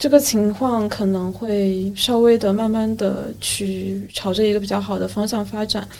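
A woman speaks at a medium pitch with fairly even intonation. It is an ordinary speaking voice. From Yueqing, Wenzhou, Zhejiang, China. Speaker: podcast host. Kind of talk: casual chat.

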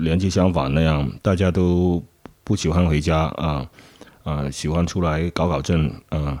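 A man with a Cantonese accent speaks at a very deep, low pitch. His tone is dark and mellow, and his pace fairly slow. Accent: Cantonese-accented Mandarin. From Guangzhou, southern China. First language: Cantonese (speaking Chinese). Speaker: nightlife worker. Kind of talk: interview testimony. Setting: old house at night. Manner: halting.

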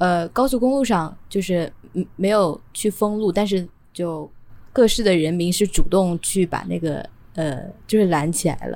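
A woman's fairly slow, medium-pitched voice with a dark, mellow tone and ordinary pitch variation. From Nanjing, eastern China. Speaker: podcast co-host. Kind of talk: casual chat. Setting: online call recording.

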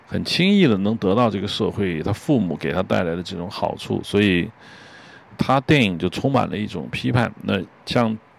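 Lively intonation marks this man's speech. He talks at a moderate pace and fairly low pitch. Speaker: podcast host, screenwriter-director. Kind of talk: solo film commentary monologue. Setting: outdoors on home balcony. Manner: hesitant, filler-heavy.

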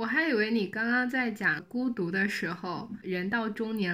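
In a very clean recording with a silent background, a woman uses a normal speaking voice, moderate pace and ordinary pitch variation. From China, Xiamen (Fujian). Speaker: podcast guest. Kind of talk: casual chat.

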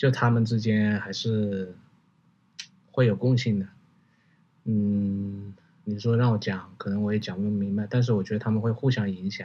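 A man with a Hunan accent, fairly low pitch, a dark, mellow tone, monotone, flat intonation, a moderate pace and long, frequent pauses. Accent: Hunan-accented Mandarin. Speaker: commercial fashion photographer. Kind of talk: casual chat.

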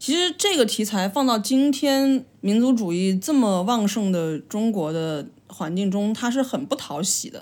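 In a Changsha accent, a woman with a fairly high pitch speaks at a fairly slow pace with hardly any pauses and very wide pitch swings. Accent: Changsha-accented Mandarin. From China, Changsha (Hunan). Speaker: podcast co-host. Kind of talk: casual chat.

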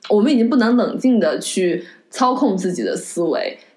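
With lively intonation, a woman talks at a fairly quick pace over noticeable background noise. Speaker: podcast host. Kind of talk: casual film-discussion podcast chat. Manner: earnest, reflective.

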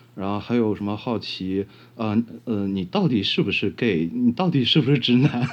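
This man talks at a moderate pace with a medium pitch. His intonation is lively. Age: 30s. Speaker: blind interviewee. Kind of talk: casual interview. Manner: halting, many fillers.

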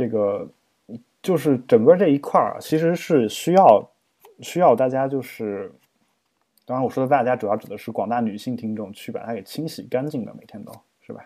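A man with a dark, mellow tone speaks with lively intonation, long and frequent pauses, and big swings in loudness. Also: medium pitch for a man, moderate pace. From China, small town. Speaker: podcast host, poet and translator. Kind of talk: casual chat.

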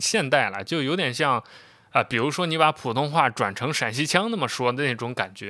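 His pitch fairly high, a man speaks in a relaxed tone that is also bright and sharp. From China, Xi'an (Shaanxi). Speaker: podcast host, TV drama commentator. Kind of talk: casual monologue. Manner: relaxed, unscripted with filler sounds.

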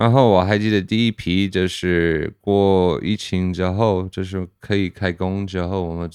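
Against a quiet background, a man with an American accent talks very slowly in a very deep, low pitch with fairly even intonation. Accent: American-accented Mandarin. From US, Pennsylvania. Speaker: brewer. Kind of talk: casual chat. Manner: halting.

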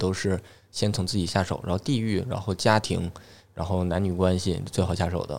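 A man's very deep, low voice with a slight Northeastern Chinese accent, fairly even intonation and a fairly quick pace, on a very clean recording with a silent background. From Northeast China. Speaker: stand-up comedian. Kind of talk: casual chat.

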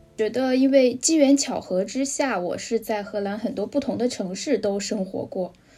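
A woman speaks in a fairly high, somewhat breathy voice with a dark, mellow tone. She hardly pauses, and her pitch varies in an ordinary way. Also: moderate pace. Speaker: Chinese expat in Europe. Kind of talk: casual chat.

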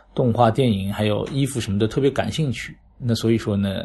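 A man at medium pitch with fairly even intonation. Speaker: flea market organizer. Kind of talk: casual interview. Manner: hesitant, many fillers.

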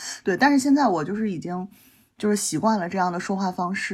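With a slight northeastern Chinese accent, a woman speaks at medium pitch with lively intonation. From Northeast China, Changchun (Jilin). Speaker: podcast guest. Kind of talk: casual chat.

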